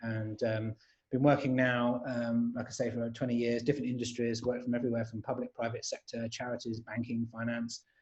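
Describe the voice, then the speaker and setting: Monotone, flat delivery from a man with a London accent, medium pitch, fairly quick pace. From London, England. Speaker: agile coach and trainer. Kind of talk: panel webinar introduction. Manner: hesitant, many fillers.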